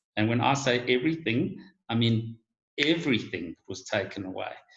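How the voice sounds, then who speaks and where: A somewhat breathy man's voice at medium pitch, moderate in pace, with ordinary pitch variation. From South Africa, Johannesburg. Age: 50s. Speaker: guest on online talk show. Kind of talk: casual chat. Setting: video call.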